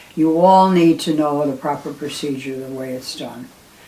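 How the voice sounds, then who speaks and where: Over noticeable background noise, a woman with a very deep, low pitch speaks at a moderate pace with ordinary pitch variation. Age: 80s+. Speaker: retired nurse educator. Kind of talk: tutorial. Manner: halting.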